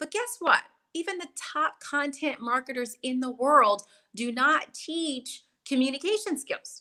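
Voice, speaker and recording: Raising and projecting her high voice, a woman with an American accent speaks at a fairly slow pace, her tone bright, sharp and animated and her intonation lively. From US South, New Orleans. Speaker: sales and networking coach. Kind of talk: interview. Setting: livestream video call.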